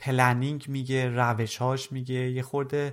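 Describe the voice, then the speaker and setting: A man with a normal speaking voice, fairly high pitch, and moderate pace in a very clean recording with a silent background. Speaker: podcast host and software developer. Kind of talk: casual chat.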